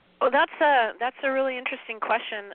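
In a Californian accent, a woman talks with a high pitch. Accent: Californian American English. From Southern California. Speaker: pet psychic and animal communicator. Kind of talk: radio interview.

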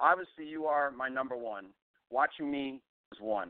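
A man talks at a moderate pace in an unremarkable speaking voice. His pitch is fairly high. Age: 40s. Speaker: radio host. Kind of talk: live radio talk show.

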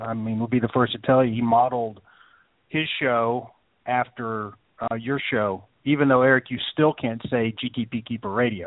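A man with a plain, everyday voice talks at a medium pitch and a moderate pace. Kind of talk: casual chat.

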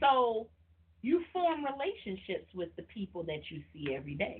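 The speaker, with an American accent, uses very wide pitch swings. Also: woman. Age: 30s. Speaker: podcast host. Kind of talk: casual chat. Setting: live online stream. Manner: animated.

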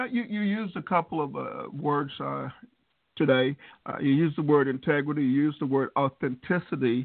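Speaking at a fairly quick pace with an American accent, a man uses a fairly high pitch and ordinary pitch variation. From US South. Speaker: podcast host. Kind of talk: casual interview. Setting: video call.

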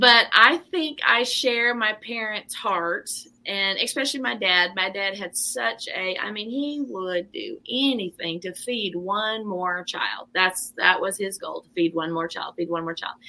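A woman with a normal speaking voice talks at a fairly slow pace and hardly any pauses. Her pitch is medium and her intonation lively. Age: 40s. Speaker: pastor and author. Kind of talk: interview.

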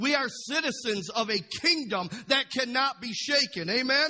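A man's raised, projected voice carries a bright, sharp tone and very wide pitch swings. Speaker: pastor. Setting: church with congregation. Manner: fervent, breathless run-on delivery, words tumbling together without pause; exclamatory and call-and-response, punctuated by amen, come on, woo.

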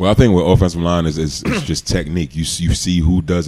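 In a New York accent, a man speaks with a very deep, low pitch. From New York City, Queens. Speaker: retired NFL player. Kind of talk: casual chat. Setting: studio.

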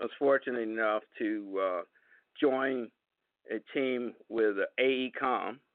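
A man with an American accent speaks at a very slow pace, his medium pitch showing ordinary variation. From Southern California, Los Angeles. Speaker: construction management CEO. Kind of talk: radio interview. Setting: phone call.

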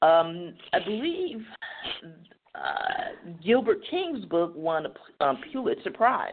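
A woman talks at a very slow pace. Her fairly high voice swings very widely in pitch. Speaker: radio host. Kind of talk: reading a prepared intro, then interview. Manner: halting, repeating words while reading.

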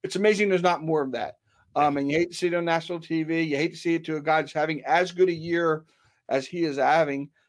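With an American accent, a man speaks at a very fast pace and high pitch, keeping his intonation fairly even. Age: 50s. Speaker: sports writer and betting contributor. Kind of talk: casual chat.

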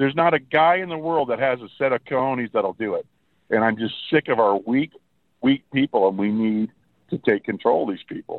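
Lively intonation marks this man's plain, everyday voice at medium pitch. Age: 60s. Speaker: radio show caller. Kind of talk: phone-in call.

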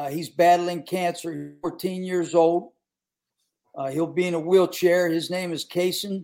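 At a fairly slow pace, a man in an American accent speaks in a high-pitched, dark, mellow voice with monotone, flat intonation. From West Virginia. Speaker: former college football coach. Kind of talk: casual chat.

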